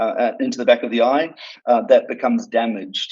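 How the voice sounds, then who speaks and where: This is a man speaking with an Australian accent. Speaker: doctor. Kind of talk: interview. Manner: halting, many fillers.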